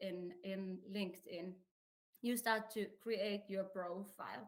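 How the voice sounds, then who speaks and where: A woman speaks with a Finnish accent at a medium pitch. Her pace is very slow, with ordinary pitch variation. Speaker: career advisor. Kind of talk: presentation.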